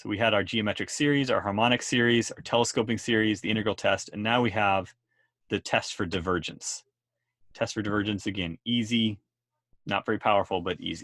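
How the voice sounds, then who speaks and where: With an unremarkable speaking voice, a man talks at a fairly quick pace, with a fairly low pitch and fairly even intonation. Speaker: math teacher. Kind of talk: lecture.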